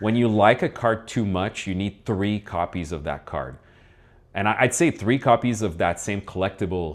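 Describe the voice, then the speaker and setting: On a very clean recording with a silent background, a man with a French accent speaks at a moderate pace in a fairly low pitch with ordinary variation. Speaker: collectibles channel host. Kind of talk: casual chat. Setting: studio.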